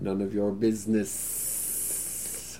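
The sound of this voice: A man puts on a character voice at a fairly low pitch, with a hissing quality. Clear background noise runs under it.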